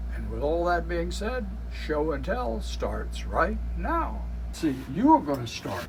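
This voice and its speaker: A man's very deep, low voice in an American accent, flat and monotone, at a fairly slow pace amid noticeable background noise. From Iowa, United States. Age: 70s. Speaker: railroad enthusiast and YouTube host. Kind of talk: show intro to camera.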